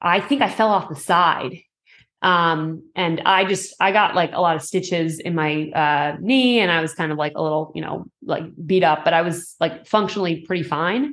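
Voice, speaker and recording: This is an unremarkable speaking voice from a woman. She keeps a moderate pace with ordinary pitch variation. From Massachusetts, outside Boston. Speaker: amateur triathlete. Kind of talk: interview.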